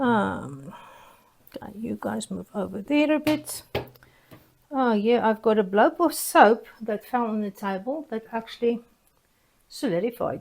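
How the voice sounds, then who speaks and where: Speaking with a South African accent, a woman moves at a fairly slow pace with long, frequent pauses, lively intonation and big swings in loudness. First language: Afrikaans. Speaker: soap-making YouTuber. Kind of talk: casual tutorial vlog. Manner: hesitant, many fillers.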